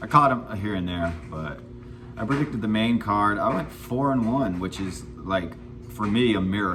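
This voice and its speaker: With music in the background and audible room echo, a man speaks at a moderate pace with lively intonation. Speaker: MMA commentator YouTuber. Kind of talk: casual fight recap vlog. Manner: casual, filler-heavy.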